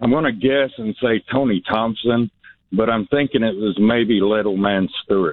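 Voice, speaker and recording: Medium-pitched, the man speaks in an ordinary speaking voice at a moderate pace with fairly even intonation. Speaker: radio caller. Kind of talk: call-in radio. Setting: phone call.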